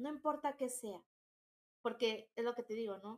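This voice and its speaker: A woman talks at a moderate pace. Her voice is fairly high, with fairly even intonation. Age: 30s. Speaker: entrepreneur. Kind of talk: interview.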